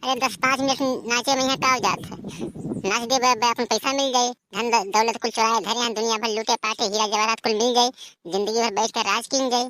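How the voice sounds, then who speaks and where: A woman puts on a cartoonish character voice pitched fairly high. She races along at a very fast pace with fairly even intonation. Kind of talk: comic rustic overacting. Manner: fast, loud, bantering.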